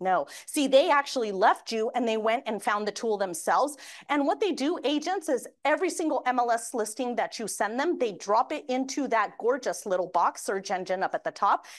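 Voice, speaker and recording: With hardly any pauses, a woman speaks in an animated tone at a high pitch with very wide pitch swings, against a quiet background. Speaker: mortgage industry presenter. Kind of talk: training presentation. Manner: fast.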